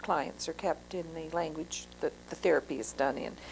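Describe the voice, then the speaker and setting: The speaker has a Maritime Canadian accent. The pace is moderate. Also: woman. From Moncton, New Brunswick, Canada. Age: 50s. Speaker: social worker. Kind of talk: oral history interview. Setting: interviewee's home. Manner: hesitant, many fillers.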